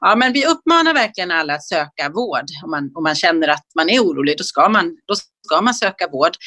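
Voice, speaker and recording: A woman speaks at a fairly quick pace with lively intonation, a bright, sharp tone and medium pitch, recorded dry and close with no echo. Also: hardly any pauses. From Sweden, Dalarna. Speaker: regional health politician. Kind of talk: interview. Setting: remote recording from home.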